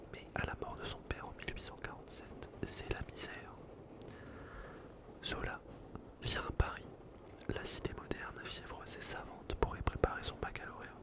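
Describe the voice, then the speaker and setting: There's a man whispering with long, frequent pauses. Noticeable background noise can be heard. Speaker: ASMR creator. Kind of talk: whispered book reading. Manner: whispered, slow.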